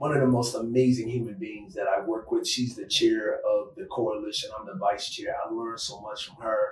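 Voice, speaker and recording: Speaking at a fairly quick pace, a man shows big swings in loudness. Noticeable background noise sits behind him. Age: 60s. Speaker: retired law enforcement agent and human trafficking advocate. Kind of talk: interview conversation.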